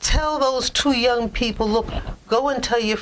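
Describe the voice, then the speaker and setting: In a Brooklyn accent, a woman talks at a very slow pace. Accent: New York (Brooklyn). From New York (Brooklyn). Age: 80s+. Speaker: journalist. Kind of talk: interview.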